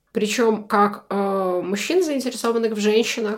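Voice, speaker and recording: A woman speaks in a medium pitch with fairly even intonation. She has a plain, everyday voice. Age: 20s. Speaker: podcast guest, former event organizer. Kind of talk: casual chat.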